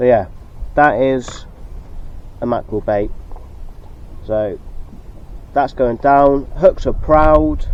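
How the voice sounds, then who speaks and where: Mumbling at a very slow pace, the speaker leaves long, frequent pauses. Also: man, fairly high pitch for a man, ordinary pitch variation. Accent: West Country. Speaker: sea angler vlogger. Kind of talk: casual vlog talk to camera. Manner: halting.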